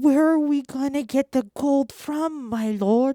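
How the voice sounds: A cartoonish character voice from a woman, high-pitched and fairly slow.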